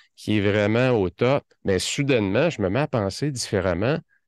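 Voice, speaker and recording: In a Quebec accent, a man speaks at a fairly slow pace with ordinary pitch variation, the sound dry with no echo and the background quiet. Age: 50s. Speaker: productivity consultant; podcast guest. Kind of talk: interview podcast. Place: office. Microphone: studio mic.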